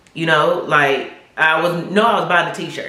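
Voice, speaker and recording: A woman with a fairly low pitch talks at a fairly slow pace in an animated tone. Noticeable background noise and audible room echo are present. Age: 40s. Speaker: YouTube vlogger. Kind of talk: casual vlog testimony.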